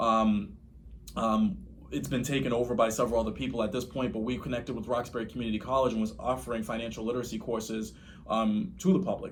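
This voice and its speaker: Over audible room echo, a man with a medium pitch, vocal fry and ordinary pitch variation talks at a very fast pace in an American accent. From Boston, Dorchester. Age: 30s. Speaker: real estate investor. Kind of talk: podcast interview.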